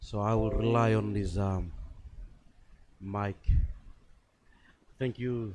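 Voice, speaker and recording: A man speaks at a very slow pace with long, frequent pauses. His pitch is fairly low and his intonation fairly even. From Papua New Guinea, Enga Province. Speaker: invited speaker, former teacher. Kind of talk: formal speech.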